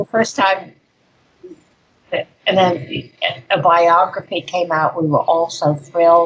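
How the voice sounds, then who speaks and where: Speaking at a very slow pace with long, frequent pauses, a woman with an American accent uses a fairly low pitch and ordinary pitch variation. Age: 80s+. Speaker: ritual abuse survivor and speaker. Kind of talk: conference interview.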